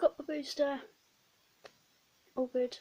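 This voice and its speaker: A dark, mellow tone with a British accent and ordinary pitch variation. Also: woman. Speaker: book vlogger. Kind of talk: casual vlog.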